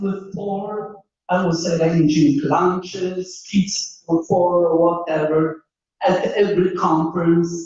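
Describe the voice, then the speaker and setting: Speaking at a very slow pace, a woman uses a medium pitch and a somewhat breathy voice. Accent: Polish. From Poland. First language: Polish. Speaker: engineering professor. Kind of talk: panel talk.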